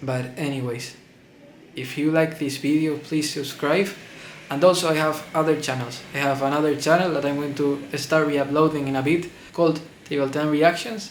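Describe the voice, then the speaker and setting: A non-native accent, fairly even intonation and a moderate pace, with audible room echo. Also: man, fairly high pitch for a man. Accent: non-native English speaker. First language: Spanish. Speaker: movie reviewer. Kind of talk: casual video review monologue. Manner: halting, repeats words.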